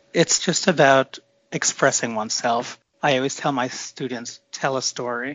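In an unremarkable speaking voice, a man talks at a moderate pace and medium pitch, keeping his intonation fairly even. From New York City. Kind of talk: interview.

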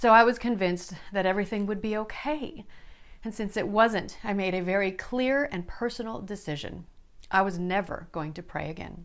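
Speaking at a moderate pace, a woman uses a normal speaking voice with an American accent. Her pitch sits in the medium range and varies in an ordinary way. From South Dakota, US Midwest. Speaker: online Bible study host. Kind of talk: personal testimony.

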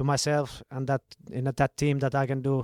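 On a very clean recording with a silent background and a dry, close sound with no echo, a man with a Finnish accent speaks at a fairly high pitch. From Finland. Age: 30s. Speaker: professional footballer. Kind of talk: interview.

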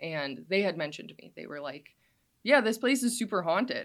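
A woman has an unremarkable speaking voice at a medium pitch, with lively intonation. The recording is very clean, with a silent background. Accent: American. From Wisconsin, US Midwest. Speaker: social media creator on local paranormal history. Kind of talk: casual interview. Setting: studio.

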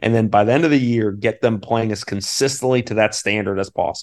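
Over a quiet background, a man with an ordinary speaking voice talks at a fairly quick pace, at medium pitch with ordinary pitch variation. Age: 30s. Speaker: college basketball assistant coach. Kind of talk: casual interview.

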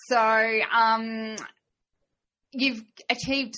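A bright, sharp tone in an Australian accent. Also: woman. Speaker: podcast host and riding trainer. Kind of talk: interview conversation. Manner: animated.

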